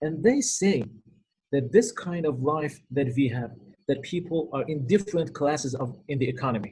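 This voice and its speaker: A man speaks with lively intonation at a fairly high pitch. His voice is somewhat breathy. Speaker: Islamic lecturer, cleric. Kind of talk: lecture. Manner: fast.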